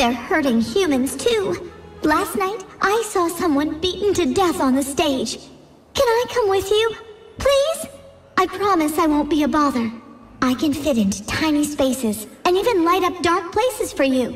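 An extremely high-pitched, put-on character voice moves at a moderate pace. Clear background noise runs underneath. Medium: machinima. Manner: grateful, pleading, eager.

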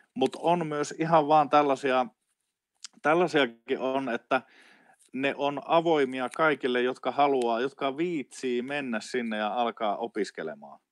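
A man's medium-pitched voice, very slow, with ordinary pitch variation and a dry sound free of echo. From Finland, Oulu; Finland. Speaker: traditional wisdom teacher. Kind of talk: casual interview conversation. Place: home room.

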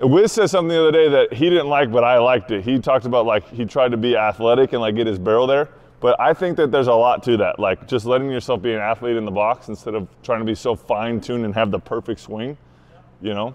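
A man talks very fast, his pitch rising and falling in an ordinary way. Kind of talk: casual banter and coaching talk. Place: gym. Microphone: lapel.

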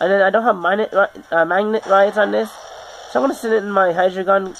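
Over noticeable background noise, the speech runs at a very fast pace with ordinary pitch variation. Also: woman. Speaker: gaming YouTuber. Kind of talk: live gameplay commentary. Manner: halting.

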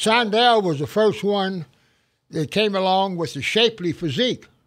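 At a moderate pace, a man speaks with a high pitch and ordinary pitch variation on a very clean recording with a silent background. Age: 80s+. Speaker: gym owner and strength trainer. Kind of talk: interview answer.

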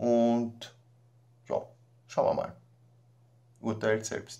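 Very slow speech with vocal fry comes in a dark, mellow tone with monotone, flat intonation. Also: man, medium pitch for a man.

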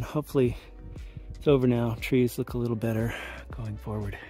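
A man's voice sounds dry and echo-free, with faint music playing in the background. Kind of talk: casual vlog chat. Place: open country. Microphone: phone near.

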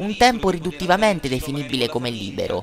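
Pitch swings very widely in this fairly quick speech, with music in the background. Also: man. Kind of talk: local news report narration.

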